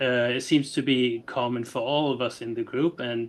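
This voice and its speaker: A man speaks with a non-native accent at a medium pitch. His intonation is monotone and flat. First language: not English. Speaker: podcast co-host. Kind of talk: casual podcast conversation. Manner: halting, many fillers.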